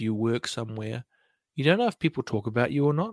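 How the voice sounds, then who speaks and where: Dry and close with no echo, a man with a New Zealand accent speaks with lively intonation. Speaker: podcaster and breathing coach. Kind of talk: casual chat. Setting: live stream fireside chat.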